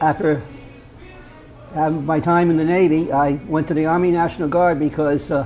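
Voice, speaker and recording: Noticeable background noise sits behind a man whose fairly high-pitched voice keeps fairly even intonation. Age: 70s. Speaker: military veteran. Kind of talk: roundtable storytelling. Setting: roundtable at a local venue. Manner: halting, many repetitions.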